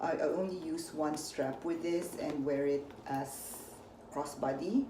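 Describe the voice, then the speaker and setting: A woman's very deep, low pitch with a Filipino accent, ordinary pitch variation, a fairly slow pace and audible room echo. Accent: Filipino accent, noticeable. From Philippines. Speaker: unboxing vlogger. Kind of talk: casual unboxing vlog.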